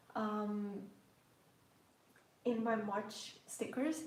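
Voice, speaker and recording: A woman with a slight Portuguese accent speaks at a fairly high pitch amid noticeable background noise and audible room echo. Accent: slight Portuguese undertone. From Portugal. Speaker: planner and journaling YouTuber. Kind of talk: casual live stream chat while journaling.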